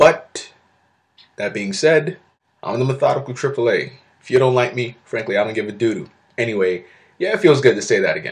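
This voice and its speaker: A man talks at a fairly quick pace with long, frequent pauses, his medium-pitched voice somewhat breathy and his intonation lively. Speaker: vlogger. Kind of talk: casual storytelling vlog. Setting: own room at college apartment. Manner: quieter than usual; filler-heavy, hesitant.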